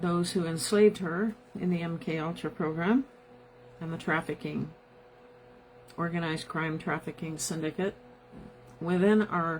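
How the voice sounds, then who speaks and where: Against noticeable background noise, a woman with a Midwestern American accent and a fairly low pitch talks at a moderate pace, pausing long and often. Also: ordinary pitch variation. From US Midwest, South Bend, Indiana. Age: 70s. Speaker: podcast host. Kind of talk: live podcast monologue.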